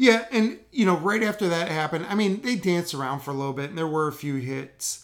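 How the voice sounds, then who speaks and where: A very fast, excited and animated delivery with lively intonation and hardly any pauses. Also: man, high pitch for a man. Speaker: podcast host. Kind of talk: casual chat, live reaction recap. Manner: excited, fired up, animated.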